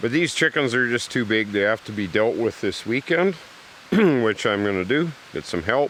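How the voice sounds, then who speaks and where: A man at a moderate pace, relaxed tone, very wide pitch swings. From Canada, British Columbia. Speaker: survivalist vlogger. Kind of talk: casual vlog narration and chat. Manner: relaxed, hesitant with fillers.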